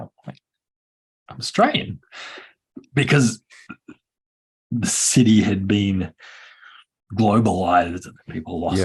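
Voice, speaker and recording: Very slowly and with long, frequent pauses, a man speaks at a fairly low pitch with ordinary pitch variation, big swings in loudness and a somewhat breathy sound. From Australia. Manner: hesitant, many fillers and restarts.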